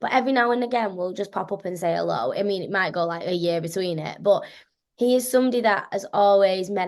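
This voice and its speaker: A woman's medium-pitched voice with a slight Scouse accent, over a quiet background. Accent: slight Scouse twang. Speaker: actress. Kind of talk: interview. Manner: animated.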